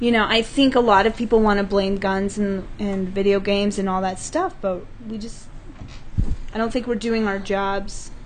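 With an American accent, a woman speaks at a medium pitch with fairly even intonation, an unremarkable speaking voice. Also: moderate pace. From US West (California, Utah). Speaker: improv comedian. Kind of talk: casual chat.

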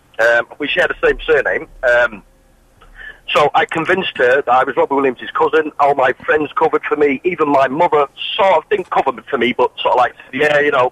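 A man talks at a fairly quick pace with very even loudness. Noticeable background noise is present. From Manchester. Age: 30s. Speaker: caller. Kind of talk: phone-in anecdote.

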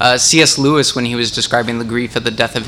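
A man speaks at a fairly quick pace with monotone, flat intonation. Noticeable background noise is present. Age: young adult. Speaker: young adult group leader. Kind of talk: group discussion facilitation. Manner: halting.

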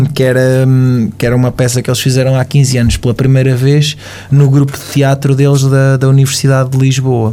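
Noticeable background noise behind a man at medium pitch, monotone, flat intonation and a fairly quick pace. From Portugal, Caldas da Rainha. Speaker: radio presenter. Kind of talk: casual interview chat. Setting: studio.

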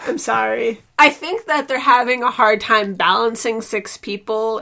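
A woman with a fairly high pitch talks at a moderate pace, noticeable background noise behind her. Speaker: podcast host. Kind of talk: casual chat.

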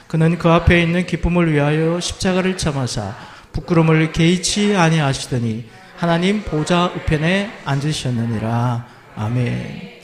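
Noticeable background noise accompanies a man who talks fairly slowly, his fairly high pitch rising and falling with lively intonation. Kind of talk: sermon. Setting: church.

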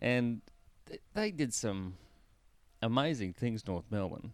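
A man with an Australian accent, medium pitch and a fairly slow pace. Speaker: co-host, football fan. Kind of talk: casual banter, sports recap. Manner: joking, teasing.

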